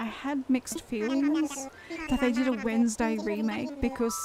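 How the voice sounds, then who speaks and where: A woman with an Australian accent talks at a fairly slow pace in a high voice with ordinary pitch variation, over noticeable background noise. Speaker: gaming streamer. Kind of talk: live game stream chat.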